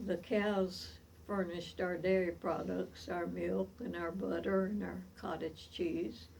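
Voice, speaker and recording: A woman with an Appalachian accent, at a very slow pace. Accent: Southern US (Appalachian). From US South, East Tennessee. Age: 80s+. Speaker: centenarian storyteller. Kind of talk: oral history reminiscence. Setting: at home.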